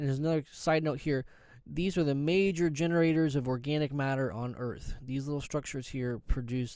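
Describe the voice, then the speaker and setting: This man speaks at a fairly high pitch with a dark, mellow tone. His pitch varies an ordinary amount, and his pace is fairly quick. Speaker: college biology instructor. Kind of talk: recorded online lecture. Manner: fast; halting, many fillers and restarts.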